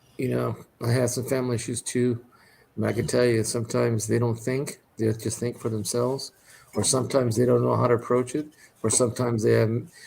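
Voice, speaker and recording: A man speaks at a very fast pace with a somewhat breathy voice. His medium pitch stays monotone and flat. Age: 60s. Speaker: livestream host. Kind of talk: casual chat.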